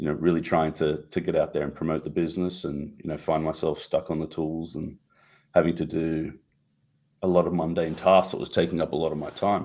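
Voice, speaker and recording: With an Australian accent, a man talks at a fairly quick pace. His very deep, low voice stays monotone and flat. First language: Italian. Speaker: tech company CEO. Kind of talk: interview.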